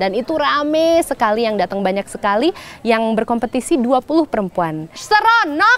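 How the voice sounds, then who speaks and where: A woman speaks at a moderate pace in a fairly high pitch with lively intonation, against noticeable background noise. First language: stronger in English than Indonesian (speaking Indonesian). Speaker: poet and performer. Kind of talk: interview. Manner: hesitant, many fillers.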